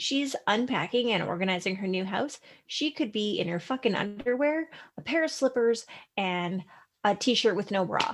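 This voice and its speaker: At a moderate pace, a woman with a Canadian accent uses a plain, everyday voice, fairly high in pitch with lively intonation. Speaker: podcast host. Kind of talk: casual chat podcast. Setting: video call. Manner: laughing, casual.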